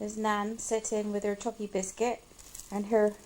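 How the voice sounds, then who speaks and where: Very slowly, a woman speaks in a fairly high pitch with a dark, mellow tone. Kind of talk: casual family interview questions.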